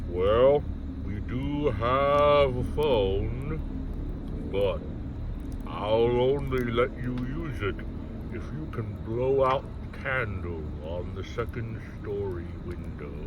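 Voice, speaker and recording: Over loud background noise, a man in a put-on character voice speaks very slowly at a medium pitch. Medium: read story.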